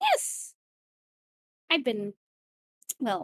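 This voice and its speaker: A female-sounding, put-on character voice, high in pitch for a woman. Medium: actual play. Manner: cheerful, coy, theatrical.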